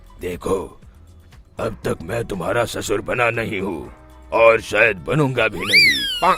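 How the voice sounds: Over clear music in the background, a man performs a cartoonish character voice at a fairly slow pace. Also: medium pitch for a man.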